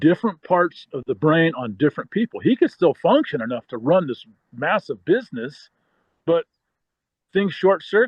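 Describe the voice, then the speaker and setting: Speaking with an American accent, a man uses a high pitch and very wide pitch swings. He keeps a moderate pace. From Northern California. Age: 60s. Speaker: former football player and writer. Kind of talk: interview. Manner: rambling.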